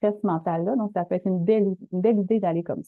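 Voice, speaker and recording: A woman with a Quebec accent, medium in pitch, with ordinary pitch variation. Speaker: webinar presenter. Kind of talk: webinar presentation. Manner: fast; casual.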